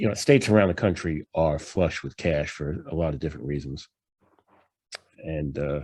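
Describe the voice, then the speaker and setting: A man with a New York accent and a dark, mellow tone at a fairly quick pace, over a quiet background. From New York, Long Island. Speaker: professor presenting financial analysis. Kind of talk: lecture presentation. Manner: casual, many fillers.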